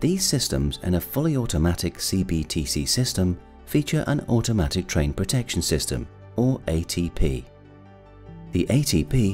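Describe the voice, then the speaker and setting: Very deep and low, a man's voice moves through very wide pitch swings. Faint music sits in the background. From British. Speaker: voice actor. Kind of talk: e-learning narration. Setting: home studio. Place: studio.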